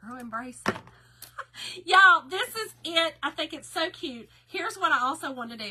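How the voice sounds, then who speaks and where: Her tone is bright and sharp, with very wide pitch swings. The woman speaks in a Southern US accent. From Kentucky. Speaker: craft live-stream host. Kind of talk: live stream craft tutorial. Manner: casual, chatty.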